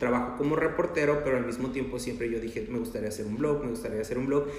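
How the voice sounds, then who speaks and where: There is audible room echo and noticeable background noise as a man speaks at medium pitch. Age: 30s. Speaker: media reporter and Disney influencer. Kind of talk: casual chat.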